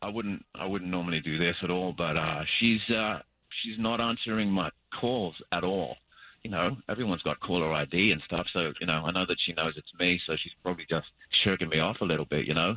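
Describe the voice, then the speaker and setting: A man with an Australian accent speaks at a fairly quick pace. His pitch is very deep and low, with ordinary variation. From Australia, Perth. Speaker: radio show caller. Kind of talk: phone-in chat.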